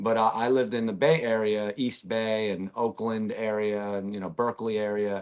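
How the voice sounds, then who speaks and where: A man's normal speaking voice, fairly low-pitched, at a moderate pace with fairly even intonation and hardly any pauses. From Russia, raised in US from age five. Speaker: musician. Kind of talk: casual chat. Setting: live video podcast.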